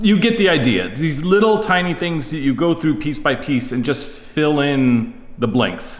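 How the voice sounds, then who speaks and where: Very wide pitch swings come through over audible room echo and noticeable background noise. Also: man, fairly high pitch for a man. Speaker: gaming content creator. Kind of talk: tutorial. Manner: fast.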